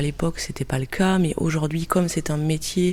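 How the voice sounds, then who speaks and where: The woman's voice sits at a very deep, low pitch. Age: 30s. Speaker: cultural mediator. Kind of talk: interview. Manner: hesitant with filler euh.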